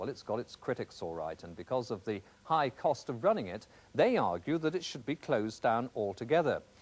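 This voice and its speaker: A man with vocal fry and very wide pitch swings, on a very clean recording with a silent background. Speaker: TV news presenter. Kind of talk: TV news report narration.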